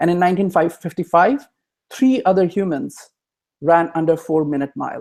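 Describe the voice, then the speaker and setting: The man's voice sits at a high pitch with ordinary pitch variation. He keeps a moderate pace. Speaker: blogger and online course creator. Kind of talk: webinar presentation. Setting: live online webinar.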